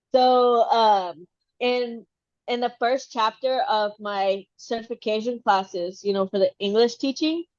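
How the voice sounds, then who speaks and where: A woman talks at a fairly slow pace. Her pitch is fairly high, with ordinary variation. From Texas. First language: Spanish. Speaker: podcast co-host, trainee English teacher. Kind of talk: casual chat.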